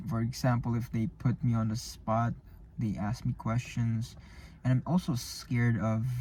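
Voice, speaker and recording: At medium pitch and a moderate pace, a man with a non-native accent sounds somewhat breathy, his tone dark and mellow and his intonation fairly even. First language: not English. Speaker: vlogger practicing public speaking. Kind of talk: solo vlog monologue. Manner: halting, many false starts and repetitions.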